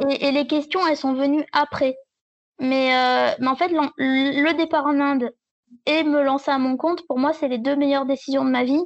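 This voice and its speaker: A woman speaks at a moderate pace in a high voice, with monotone, flat intonation and very even loudness. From southern France. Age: 20s. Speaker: travel blogger. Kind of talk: casual chat. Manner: halting.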